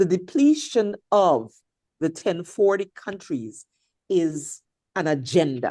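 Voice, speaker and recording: Speaking at a very slow pace, a woman has a fairly low pitch and a dark, mellow tone. Her intonation is lively. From Guyana. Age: 60s. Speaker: audience participant in discussion. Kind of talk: impassioned comment in online discussion.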